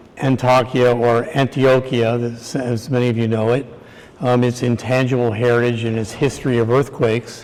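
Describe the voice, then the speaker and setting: Against noticeable background noise, a man with an American accent speaks at medium pitch and a moderate pace, his intonation monotone and flat. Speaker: structural engineer. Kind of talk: conference lecture. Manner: hesitant, many fillers.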